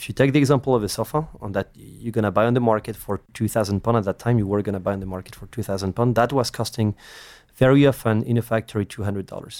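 A man with a fairly low pitch talks at a very fast pace, with fairly even intonation but big swings in loudness. The recording is very clean with a silent background and a dry, close sound with no echo. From France. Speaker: startup co-founder. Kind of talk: interview.

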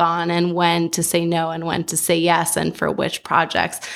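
A woman with an American accent talks fairly slowly, captured on a very clean recording with a silent background. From Southern California. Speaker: architect and design firm owner. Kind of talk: roundtable discussion.

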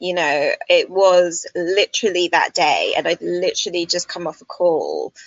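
A woman talks at a moderate pace. She has a British accent. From Britain. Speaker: destination wedding planner and YouTuber. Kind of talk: casual interview. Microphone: connection dropping.

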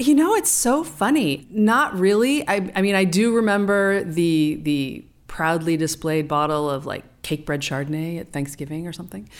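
Speaking at a moderate pace with hardly any pauses, a woman uses lively intonation and a fairly low pitch in an unremarkable speaking voice. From California. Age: 50s. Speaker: winemaker. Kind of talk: casual chat.

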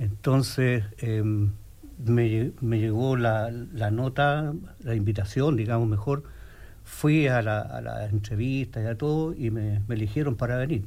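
Somewhat breathy and dark, mellow in tone, a voice with a Chilean accent moves at a very slow pace with ordinary pitch variation amid audible room echo. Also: man, medium pitch for a man. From Chile, Santiago. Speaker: physical therapist. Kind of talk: radio interview. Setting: radio studio. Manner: halting, repeats words.

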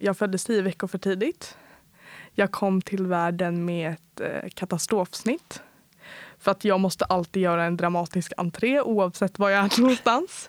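In an ordinary speaking voice, a woman talks at a moderate pace and medium pitch with fairly even intonation and a dry, close sound with no echo. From Sweden, Uppland (Bålsta). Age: 20s. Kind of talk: interview. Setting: studio.

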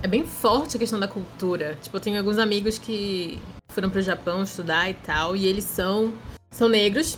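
Here is an ordinary speaking voice from a woman, fairly high in pitch. She speaks at a fairly slow pace. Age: 20s. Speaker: architect and anime event presenter. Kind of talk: casual chat. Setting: video call.

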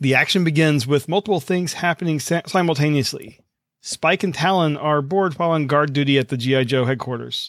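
A plain, everyday voice with an American accent moves at a fairly quick pace with ordinary pitch variation and very even loudness, in a dry, close sound with no echo. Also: man, fairly high pitch for a man. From US South. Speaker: podcast host. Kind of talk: reading aloud; casual chat. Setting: video call.

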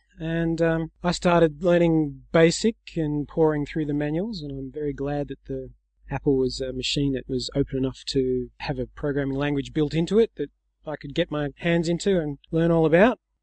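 Speaking with an Australian accent, a man has a fairly high pitch, ordinary pitch variation and a moderate pace, in a dry, close sound with no echo and a quiet background. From Australia, Sydney. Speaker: software developer. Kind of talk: interview.

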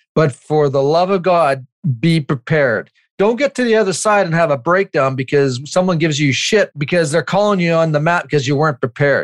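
The sound is dry and close with no echo, and the loudness is very even. A man talks in a plain, everyday voice, fairly high in pitch, with ordinary pitch variation. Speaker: podcast co-host. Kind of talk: casual interview conversation.

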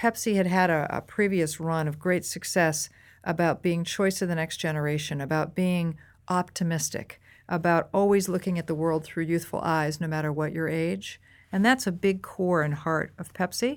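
Here is a woman with an American accent and an unremarkable speaking voice, talking at a moderate pace with ordinary pitch variation. The recording is very clean, the background silent. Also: fairly low pitch for a woman. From US Northeast, near Boston. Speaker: marketing executive. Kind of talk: interview.

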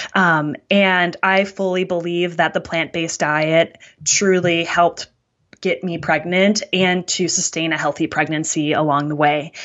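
A woman speaks in a monotone with flat intonation and an American accent. Her pitch is fairly low, and her pace is fairly slow. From US Midwest, Wisconsin. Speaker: oncology dietitian. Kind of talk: interview.

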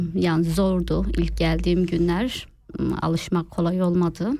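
On a very clean recording with a silent background, a woman with a dark, mellow tone speaks at a fairly slow pace. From Turkey. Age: 30s. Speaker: home cook with food page. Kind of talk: interview. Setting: studio.

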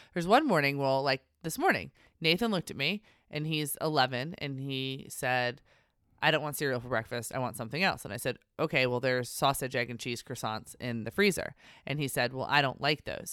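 A woman with a very deep, low voice is heard on a very clean recording with a silent background. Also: ordinary pitch variation, fairly quick pace. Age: 40s. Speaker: podcast host, mother. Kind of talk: casual chat.

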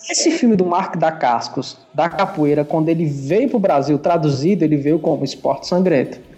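Over noticeable background noise, a man with a fairly high voice speaks at a moderate pace with ordinary pitch variation, very even loudness and hardly any pauses. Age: 30s. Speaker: podcast co-host. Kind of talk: casual chat.

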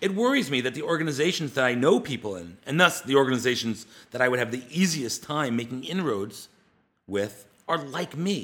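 An ordinary speaking voice with an American accent talks at a fairly quick pace on a very clean recording with a silent background. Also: man, medium pitch for a man. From US East Coast. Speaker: podcast host and media project founder. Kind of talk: solo monologue podcast, partly scripted.

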